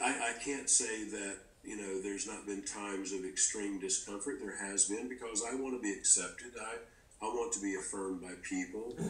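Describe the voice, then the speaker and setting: A man speaks at a fairly quick pace with a fairly low pitch and fairly even intonation. There is audible room echo. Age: 50s. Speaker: guest speaker on faith. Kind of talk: podcast conversation. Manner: halting.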